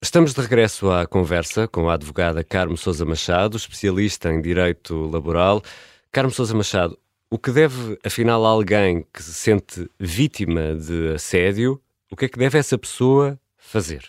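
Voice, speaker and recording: With very deep, low pitch and lively intonation, a man talks at a moderate pace, his loudness swinging widely, in a very clean, dry, close recording with a silent background and no echo. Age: 40s. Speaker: radio podcast host. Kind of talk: interview; scripted narration.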